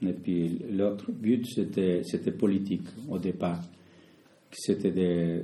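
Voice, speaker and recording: Speaking in a Spanish accent, a man with a very deep, low pitch and a dark, mellow tone talks at a very slow pace. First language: Spanish (speaking French). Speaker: community association founder. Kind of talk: interview. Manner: halting, many repetitions.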